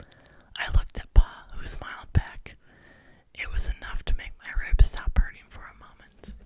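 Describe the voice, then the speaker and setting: Someone whispers at a fairly slow pace in a calm tone. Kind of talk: audiobook-style novel reading. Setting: close microphone recording. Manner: soft-spoken, calm, relaxing.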